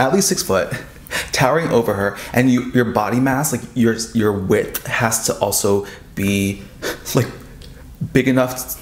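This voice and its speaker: A man speaks at a moderate pace with lively intonation, leaving long, frequent pauses, and the room echo is audible. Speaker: friend of the vlogger. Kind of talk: casual chat. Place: home room. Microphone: camera far.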